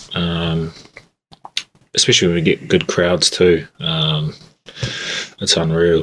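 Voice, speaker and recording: Very slow, monotone, flat delivery in a New Zealand accent, broken by long, frequent pauses. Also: man, very deep, low pitch for a man. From New Zealand, Christchurch. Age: 20s. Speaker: rugby player. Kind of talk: interview. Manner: halting.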